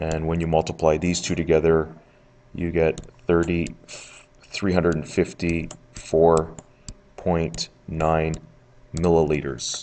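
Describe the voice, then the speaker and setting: Very deep and low, a man's voice moves at a very slow pace with monotone, flat intonation. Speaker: teacher. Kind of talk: recorded lesson screencast. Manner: many filler uh's.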